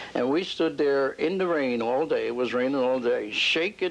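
A man's voice with ordinary pitch variation. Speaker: witness. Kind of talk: interview answer. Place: home room.

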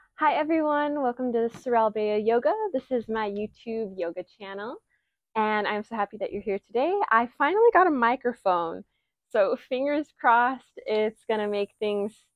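The delivery moves at a moderate pace over a quiet background. The sound is dry, with no echo. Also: woman. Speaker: yoga instructor. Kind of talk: yoga class intro and guidance. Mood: warm, cheerful, laughing. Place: garden. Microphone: lapel.

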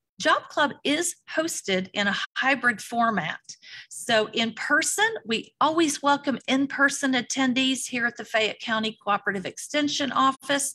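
Her tone is bright and sharp. The woman uses a raised, projected voice at a fairly slow pace. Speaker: program facilitator. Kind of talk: webinar introduction. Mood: warm, appreciative. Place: meeting room.

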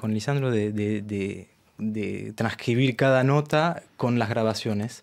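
A man at a fairly slow pace, with fairly even intonation. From France, Argentine parents. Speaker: tango violinist and arranger; guest. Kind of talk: interview. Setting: radio studio. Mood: relaxed, friendly. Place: studio. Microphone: studio mic.

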